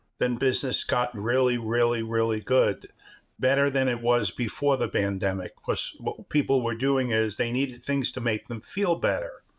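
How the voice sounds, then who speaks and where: A man with an American accent speaks at a medium pitch. His intonation stays fairly even. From New York. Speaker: luxury car leasing business owner. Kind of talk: interview.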